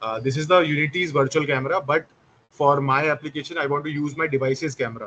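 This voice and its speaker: A man's bright, sharp tone, fairly high in pitch, with fairly even intonation. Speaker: instructor. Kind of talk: live online class tutorial. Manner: fast.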